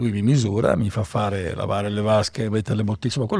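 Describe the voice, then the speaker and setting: A man's fairly low-pitched voice has a dark, mellow tone and is somewhat breathy. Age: 60s. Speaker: winemaker. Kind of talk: interview. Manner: halting, many fillers.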